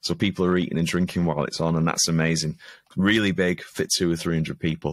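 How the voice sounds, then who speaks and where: A man with a Lancashire accent and a very deep, low pitch speaks at a moderate pace with fairly even intonation. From Preston, Lancashire, northern England; northern England. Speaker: stand-up comedian and comedy show organiser; stand-up comedian. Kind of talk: casual interview chat. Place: home room.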